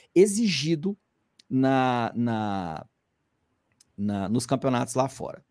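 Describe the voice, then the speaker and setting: Spoken with a Goiás accent, the clip is a very clean recording with a silent background. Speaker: climbing magazine editor. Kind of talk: casual commentary. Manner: conversational, with many fillers.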